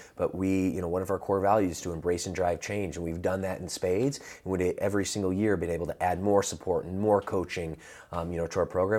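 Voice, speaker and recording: A man's very deep, low voice in a dark, mellow tone with an American accent, very fast with hardly any pauses and fairly even intonation, in a very clean recording with a silent background. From US South and Midwest. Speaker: fitness franchise executive. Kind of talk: interview.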